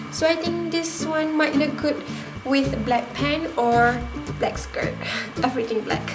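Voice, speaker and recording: Clear music plays in the background as a woman speaks with long, frequent pauses. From Malaysia. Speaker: fashion youtuber. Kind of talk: casual talk to camera. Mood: cheerful, a little unsure. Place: home room. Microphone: phone near.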